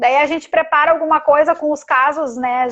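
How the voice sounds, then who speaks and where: Using a raised, projected voice, a woman speaks in a high pitch with a bright, sharp tone and monotone, flat intonation. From Rio Grande do Sul, Brazil. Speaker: occupational therapist. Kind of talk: live-stream interview. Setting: Instagram live video call.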